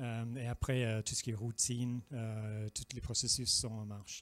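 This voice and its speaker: Speaking with a British accent at a very slow pace, a man comes through with a dry, close sound and no echo. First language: English (speaking French). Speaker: regulatory affairs expert presenting at industry event. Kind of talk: conference presentation. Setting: public presentation. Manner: halting, many filler sounds.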